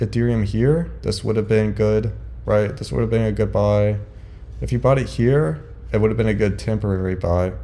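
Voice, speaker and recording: A man is speaking. The room adds audible echo. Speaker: crypto investing vlogger. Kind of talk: casual market commentary.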